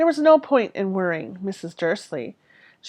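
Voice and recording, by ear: The voice reads aloud in a natural way.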